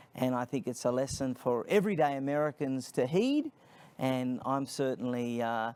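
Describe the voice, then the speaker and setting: A man at medium pitch with ordinary pitch variation, moderate in pace, on a very clean recording with a silent background. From Australia, Sydney. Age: 30s. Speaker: nonprofit founder, speaker. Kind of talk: interview.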